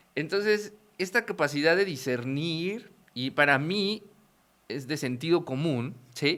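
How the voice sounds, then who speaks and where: With a Mexican accent, a man speaks very slowly in a bright, sharp tone at a fairly high pitch, using lively intonation. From Mexico. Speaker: podcast host. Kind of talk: interview.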